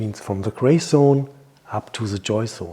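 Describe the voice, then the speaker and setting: At a moderate pace, a man with a non-native accent speaks at medium pitch with ordinary pitch variation. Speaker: hypnotherapist and naturopath. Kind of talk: health advice talk. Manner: halting.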